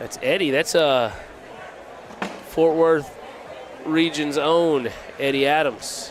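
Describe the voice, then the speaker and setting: A man with a Texan accent speaks very slowly at a fairly high pitch with fairly even intonation and long, frequent pauses, amid noticeable background noise and audible room echo. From Texas (Vernon, on the Red River). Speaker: cornhole commentator. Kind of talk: live commentary. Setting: livestreamed tournament.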